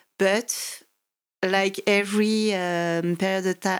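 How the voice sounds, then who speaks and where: Speaking in a French accent, a woman uses a medium pitch. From French Alps, France. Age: 40s. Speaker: mountain guide and climber. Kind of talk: interview. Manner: hesitant, many fillers.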